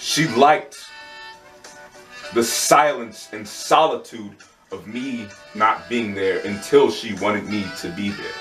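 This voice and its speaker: A man's medium-pitched, passionate voice with lively intonation, big swings in loudness, a very slow pace, and long, frequent pauses over music in the background. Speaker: spoken word poet. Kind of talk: spoken word poetry performance. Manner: passionate, heartfelt.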